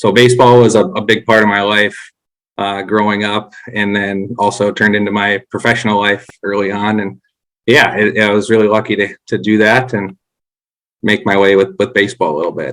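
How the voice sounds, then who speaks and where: With a North Dakota accent, a man speaks at a fairly quick pace. His fairly low voice keeps fairly even intonation. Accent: Upper Midwest (North Dakota). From North Dakota, Grand Forks. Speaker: former baseball coach. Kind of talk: podcast interview.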